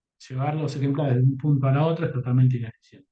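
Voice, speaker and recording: A man with an Argentine accent, fairly high in pitch with ordinary variation, at a fairly quick pace, his tone dark, mellow and somewhat breathy. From Argentina. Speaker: company executive speaking on publishing. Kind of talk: conference talk.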